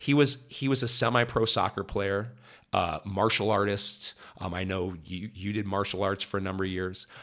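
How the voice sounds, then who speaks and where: On a very clean recording with a silent background, a man with a fairly low pitch and a plain, everyday voice talks at a moderate pace with ordinary pitch variation. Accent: General American. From US Midwest (Ohio, Columbus area). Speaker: sports broadcaster. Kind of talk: casual interview.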